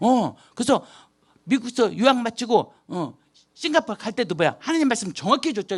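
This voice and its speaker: Against a quiet background, a woman talks with a fairly high pitch. Her pitch swings very widely. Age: 60s. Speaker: missionary. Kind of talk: testimony. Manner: animated.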